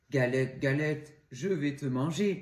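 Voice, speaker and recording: Using a put-on character voice, a man growls at a fairly slow pace in a fairly high pitch. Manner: growling.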